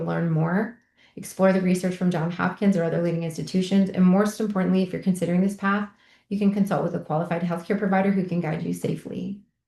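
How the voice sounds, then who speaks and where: A woman's somewhat breathy, dark and mellow voice at medium pitch, very fast, with ordinary pitch variation. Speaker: microdosing coach. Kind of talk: online group meetup talk. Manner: chatty.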